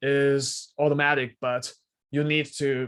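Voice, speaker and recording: The speaker has a Chinese accent. The recording is very clean, with a silent background. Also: man. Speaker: student researcher. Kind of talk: technical Q&A. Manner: halting, many repetitions.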